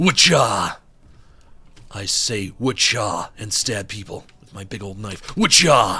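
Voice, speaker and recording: A man's put-on character voice, raspy and fairly low, at a fairly slow pace. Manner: gleeful, cartoonish.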